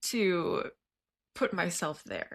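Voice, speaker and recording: A woman's bright, sharp voice at a medium pitch, with a Midwestern US accent and ordinary pitch variation, on a very clean recording with a silent background. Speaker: lifestyle YouTuber. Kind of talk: casual vlog talk. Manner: conversational, with fillers.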